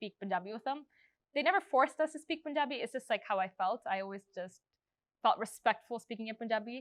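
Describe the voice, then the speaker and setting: A plain, everyday voice from a woman, fairly high in pitch, with lively intonation, on a very clean recording with a silent background. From Canada, Surrey, British Columbia. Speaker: schoolteacher. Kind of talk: oral history interview. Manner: casual, filler-heavy.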